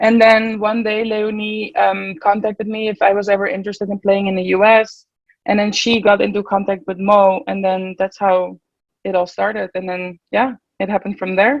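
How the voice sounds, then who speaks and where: Fairly quick and with fairly even intonation, a woman speaks in a Dutch accent. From Netherlands, Nieuwegein near Utrecht. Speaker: college water polo player. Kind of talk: interview.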